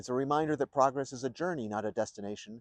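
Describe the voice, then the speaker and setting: In a plain, everyday voice, a man with an American accent speaks at medium pitch with ordinary pitch variation. The sound is dry and close with no echo, over a quiet background. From New York State. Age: 60s. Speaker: presidential candidate. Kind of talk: campaign speech. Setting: outdoors.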